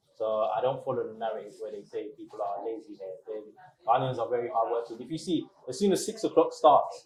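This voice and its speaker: A man talks at a very fast pace with big swings in loudness over noticeable background noise. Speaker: restaurant owner. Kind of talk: interview.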